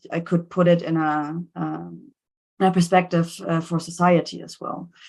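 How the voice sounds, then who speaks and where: Against a quiet background, a woman with a German accent speaks at a moderate pace. Her fairly low voice has a monotone, flat intonation. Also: big swings in loudness. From Germany. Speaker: scientist. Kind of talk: seminar talk.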